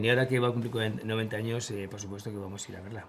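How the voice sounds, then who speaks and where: A man with a medium-pitched voice speaks with fairly even intonation. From Spain. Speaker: war correspondent. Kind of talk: interview.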